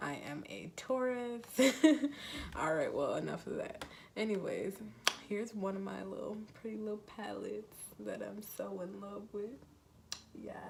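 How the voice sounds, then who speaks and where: A woman talks at a moderate pace with long, frequent pauses. Noticeable background noise and audible room echo surround her voice. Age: 20s. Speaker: beauty vlogger. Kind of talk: makeup tutorial. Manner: animated.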